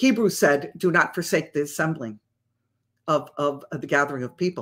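This is an unremarkable speaking voice from a woman with an American accent. She talks at a moderate pace with lively intonation. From Massachusetts. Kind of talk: casual livestream teaching. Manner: conversational, with frequent fillers.

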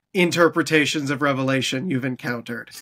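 A man with a Canadian accent against a quiet background. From Canada. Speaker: podcast host. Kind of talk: interview. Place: home room.

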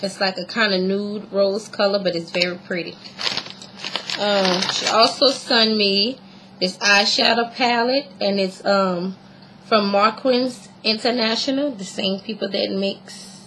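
At a fairly slow pace, a woman speaks with an American accent over light background noise. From US South. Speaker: beauty vlogger. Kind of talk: casual video blog, product showing. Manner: hesitant, many fillers. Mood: warm, cheerful. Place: home room. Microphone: webcam.

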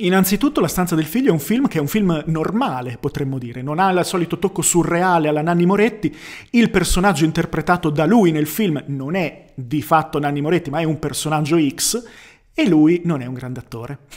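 Against a quiet background, a man speaks at a fairly quick pace. His pitch is fairly high, with ordinary pitch variation. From Bologna, northern Italy; northern Italy. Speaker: youtuber film reviewer. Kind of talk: casual film review monologue. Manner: hesitant, with fillers and repetitions. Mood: calm, reflective. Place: home room. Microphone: studio mic.

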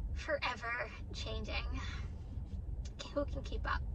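A woman talks with noticeable background noise present. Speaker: delivery driver vlogger. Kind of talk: casual vlog chat. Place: car. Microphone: phone near.

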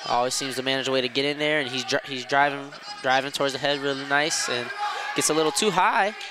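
Over noticeable background noise, a man with a fairly high pitch talks at a very fast pace in an upbeat tone. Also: ordinary pitch variation. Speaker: wrestling commentator. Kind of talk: live sports commentary on a wrestling match. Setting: gym broadcast with headset, live event. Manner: play-by-play, rapid and descriptive, upbeat.

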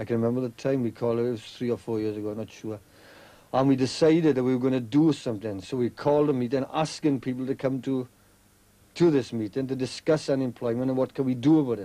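In a South Wales accent, a man talks at a very fast pace with a dark, mellow tone and fairly even intonation. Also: medium pitch for a man. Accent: South Wales valleys. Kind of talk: interview discussion. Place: tunnel cave. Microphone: old recording.

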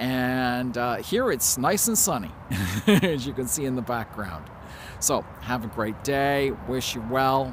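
A man speaks at a very slow pace, with a dry sound with no echo and light background noise. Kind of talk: casual vlog chat. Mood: warm, friendly. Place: garden. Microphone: phone near.

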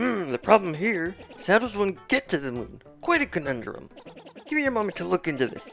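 Put-on character voice, theatrical in tone, at a middle pitch with very wide pitch swings and a fairly quick pace, over music in the background. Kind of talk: reading game dialogue in character voice. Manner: theatrical, exaggerated, pondering.

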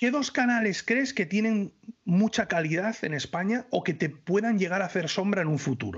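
Over a quiet background, a man with a high pitch speaks at a moderate pace with lively intonation and very even loudness. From northern Spain. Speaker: YouTuber, knife reviewer. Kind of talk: casual chat. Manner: animated. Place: home room. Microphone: studio mic.

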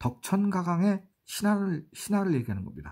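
A man speaks in a dark, mellow, somewhat breathy voice at a moderate pace. His pitch swings very widely. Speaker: writer and travel vlogger. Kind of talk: travel vlog narration. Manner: halting, many fillers.

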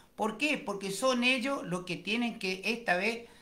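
Using a raised, projected voice, a man speaks at a fairly slow pace with lively intonation. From Argentina, Chaco. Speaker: radio host. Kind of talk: radio interview. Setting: radio studio. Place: studio. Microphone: studio mic.

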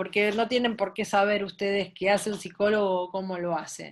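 A woman with a Buenos Aires accent talks at a moderate pace with hardly any pauses. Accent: porteño Argentine Spanish. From Buenos Aires, Argentina; Argentina. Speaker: sports psychologist. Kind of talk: online talk. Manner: animated. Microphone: video call.

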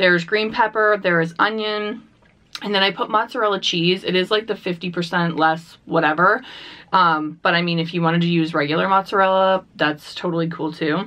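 Fairly even intonation and fairly low pitch in a woman's voice, an unremarkable speaking voice. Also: moderate pace. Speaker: mukbang host. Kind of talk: casual vlog chat. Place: home room.

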